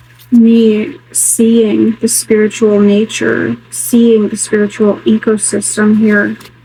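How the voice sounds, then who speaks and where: Speaking at a very slow pace with hardly any pauses, a woman has a fairly high pitch, a dark, mellow tone, fairly even intonation and a somewhat breathy quality. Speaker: spiritual tarot vlogger. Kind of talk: solo tarot reading vlog. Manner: quiet, near whisper.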